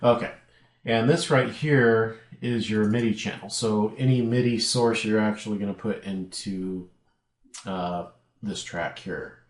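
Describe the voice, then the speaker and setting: A man's ordinary speaking voice, medium in pitch and fairly slow in pace. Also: fairly even intonation. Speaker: software tutorial maker. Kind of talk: tutorial. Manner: casual, many fillers.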